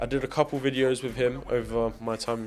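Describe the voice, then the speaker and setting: A man's medium-pitched, monotone voice with flat intonation at a moderate pace, with music in the background. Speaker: TV and film production coordinator. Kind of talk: casual behind-the-scenes storytelling.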